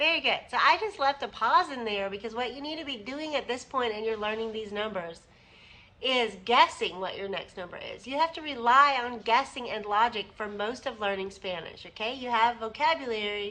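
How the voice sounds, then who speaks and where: A woman's high voice with a bright, sharp tone, lively intonation and big swings in loudness. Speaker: Spanish teacher. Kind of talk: lesson. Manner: slow.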